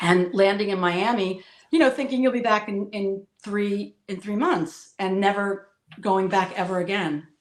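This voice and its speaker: The speaker talks at a fairly slow pace. Pitch varies in an ordinary way. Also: woman, medium pitch for a woman. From New Jersey, US. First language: Spanish. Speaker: political commentator guest. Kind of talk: interview, personal life story. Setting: live stream video call.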